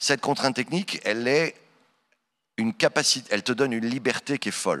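A bright, sharp tone at a moderate pace over a quiet background. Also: man. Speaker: voice actor. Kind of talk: conference Q&A. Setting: stage with audience. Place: stage. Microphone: handheld.

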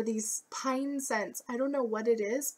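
A woman speaks with a high voice. Her pitch rises and falls in an ordinary way. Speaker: beauty and lifestyle vlogger. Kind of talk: casual vlog talk.

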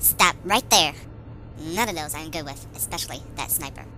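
Over clear background noise, a cartoonish character voice speaks at a moderate pace. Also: female-sounding voice. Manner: panicked, shouting.

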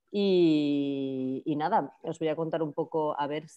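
Over a quiet background, a woman talks at a very slow pace in a very deep, low voice with a dark, mellow tone. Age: 30s. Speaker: media artist and creative programmer; presenter. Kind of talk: conference talk over video call. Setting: video call. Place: home room. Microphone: video call.

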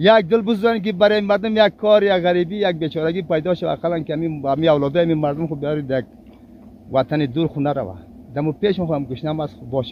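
Very fast and dry with no echo, a man's voice shows ordinary pitch variation over light background noise. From Afghanistan. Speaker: farmer; interviewee. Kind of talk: interview answer. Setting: outdoors. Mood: aggrieved, pleading complaint. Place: farm.

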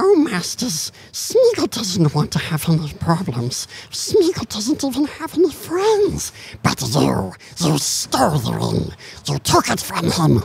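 Taking a fairly slow pace, the speaker uses a put-on character voice. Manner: whiny, wheedling.

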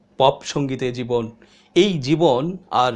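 Ordinary pitch variation in a man's fairly high voice. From Bangladesh. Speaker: online news commentator. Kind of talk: monologue commentary. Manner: measured, pause-filled delivery. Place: studio.

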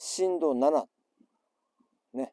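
Against a quiet background, a man's fairly high-pitched voice has a dark, mellow tone and a dry sound with no echo, delivered at a very slow pace. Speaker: survivor of the 2011 earthquake and tsunami. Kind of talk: casual talk to camera. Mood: earnest, reflective. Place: beach.

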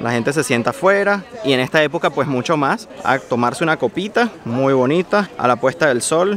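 Over crowd noise in the background, a man speaks at a fairly quick pace and fairly high pitch with lively intonation, the sound dry with no echo. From Venezuela. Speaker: travel vlogger. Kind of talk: vlog narration. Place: street. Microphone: phone near.

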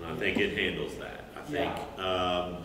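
A man with a very deep, low pitch speaks at a moderate pace, with audible room echo and light background noise. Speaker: teacher. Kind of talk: lecture. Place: stage. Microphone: camera far.

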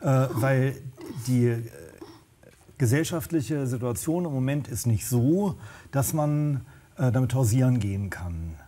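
A man speaks very slowly in a dark, mellow, somewhat breathy voice, with lively intonation and long, frequent pauses. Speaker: social worker and drug counselor. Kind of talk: panel discussion. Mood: earnest, engaged. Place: studio. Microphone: lapel.

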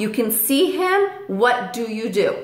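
A woman's voice with audible room echo. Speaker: parrot owner vlogger. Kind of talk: tutorial. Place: home room. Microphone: camera far.

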